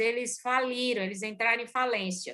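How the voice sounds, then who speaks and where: The voice has a bright, sharp tone. It moves at a moderate pace with ordinary pitch variation. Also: woman. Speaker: organizational consultant and lecturer. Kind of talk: lecture. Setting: video call. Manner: energetic.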